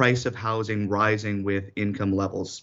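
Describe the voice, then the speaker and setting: This man has a plain, everyday voice with a Canadian accent. He talks at a fairly quick pace with a fairly low pitch. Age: 20s. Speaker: city councillor. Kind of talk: radio interview.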